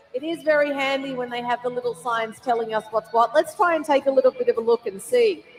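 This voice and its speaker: Over noticeable background noise, a woman with an Australian accent talks very fast at a high pitch, with ordinary pitch variation and hardly any pauses. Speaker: event commentator. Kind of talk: live commentary. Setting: stadium with audience. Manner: casual, with fillers.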